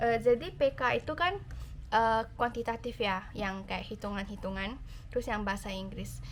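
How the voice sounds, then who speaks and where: A woman's fairly high-pitched voice with vocal fry, ordinary pitch variation and a moderate pace. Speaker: YouTuber, university student. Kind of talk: Q&A vlog. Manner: casual, with many fillers.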